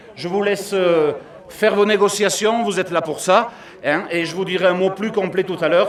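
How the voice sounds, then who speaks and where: Against noticeable background noise, the speaker talks at a moderate pace in a regional French accent with fairly even intonation. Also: man, high pitch for a man. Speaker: mayor. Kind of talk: public address; interview.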